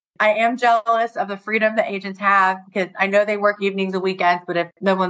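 At a fairly quick pace, a woman with an unremarkable speaking voice talks at a medium pitch. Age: 40s. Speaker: new home sales rep. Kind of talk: casual interview.

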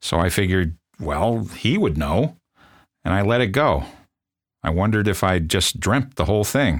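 In a very clean recording with a silent background, a man with an American accent and a very deep, low pitch speaks at a moderate pace with lively intonation, very even loudness, and long, frequent pauses. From US Midwest, South Bend, Indiana. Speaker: podcast host and storyteller. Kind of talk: scripted narration.

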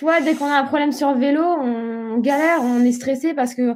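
In a very clean recording with a silent background, a woman with a dark, mellow tone talks at a moderate pace and fairly even intonation. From Réunion. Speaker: professional triathlete. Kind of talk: interview.

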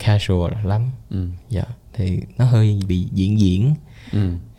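Fairly low-pitched and somewhat breathy, a man speaks in a dark, mellow tone with ordinary pitch variation. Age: 20s. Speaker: entrepreneur. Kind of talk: casual chat.

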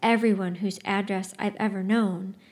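On a very clean recording with a silent background, a woman uses a dramatic tone at a fairly slow pace with fairly even intonation. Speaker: book review podcast host and narrator. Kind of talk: literary audiobook reading of a book, with a host-style intro and outro. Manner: expressive, measured narrative reading, dramatic and wistful.

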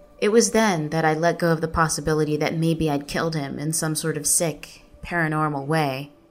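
With music in the background, a woman with a very deep, low pitch talks at a fairly quick pace, her intonation fairly even and hardly any pauses between words. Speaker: narrator, writer. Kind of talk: literary audiobook reading, personal essay narration. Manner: earnest, reflective, measured.

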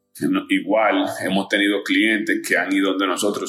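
A man speaks with a fairly low pitch and ordinary pitch variation. Noticeable background noise and audible room echo accompany him. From Dominican Republic. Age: 30s. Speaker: advertising agency founder. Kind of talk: interview. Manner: halting, many fillers.

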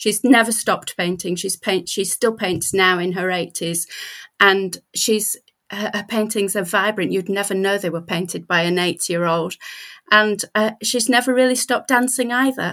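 Speaking at a moderate pace with a British accent, a woman's medium-pitched voice has a bright, sharp tone and ordinary pitch variation, captured in a very clean recording with a silent background. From Britain. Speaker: writer and writing coach. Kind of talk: casual chat.

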